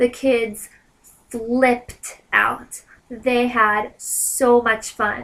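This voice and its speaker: At a very slow pace, a woman speaks in a high, monotone voice with flat intonation. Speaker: vlogger and teacher in Japan. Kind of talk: casual vlog. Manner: rambling with many fillers.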